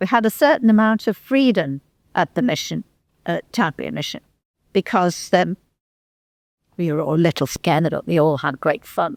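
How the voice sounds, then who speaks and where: A woman with a Merseyside accent speaks at a moderate pace, taking long, frequent pauses, in a fairly low pitch with very wide swings. The sound is dry and close, with no echo. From northern England, Litherland near Liverpool. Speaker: local history speaker. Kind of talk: reminiscence talk to a society. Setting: hall with live audience. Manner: halting.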